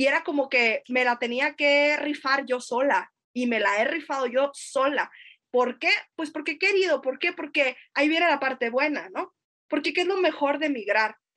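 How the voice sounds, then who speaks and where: High in pitch, a woman speaks at a moderate pace with ordinary pitch variation. Her tone is bright and sharp. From northern Mexico, Sonora (Navojoa). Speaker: literature researcher. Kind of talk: casual chat.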